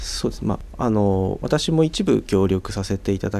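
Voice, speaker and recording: Speaking at a moderate pace, a man with a plain, everyday voice talks at a fairly low pitch with ordinary pitch variation. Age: 30s. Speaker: construction company executive. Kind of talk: radio interview. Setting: studio.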